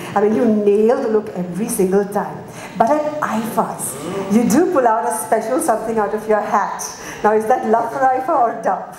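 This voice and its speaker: A woman with a fairly high pitch speaks at a fairly quick pace with ordinary pitch variation. Light background noise and audible room echo are present. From India. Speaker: event emcee. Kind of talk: live press conference hosting. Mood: warm, flattering. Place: hall. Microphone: handheld.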